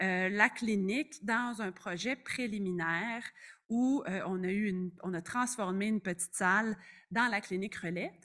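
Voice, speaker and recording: Fairly slow speech from a woman at medium pitch, bright and sharp in tone with ordinary pitch variation, on a very clean recording with a silent background. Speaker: family physician and researcher. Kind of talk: conference presentation.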